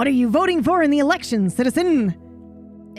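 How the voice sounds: Over clear background music, a put-on character voice comes through gravelly and fairly high-pitched at a moderate pace.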